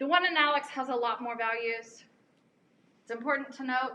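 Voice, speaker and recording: A woman with an American accent projects her voice at a moderate pace, high in pitch and bright and sharp in tone. The room echo is audible. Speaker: chemistry professor. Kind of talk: lecture. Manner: casual, conversational.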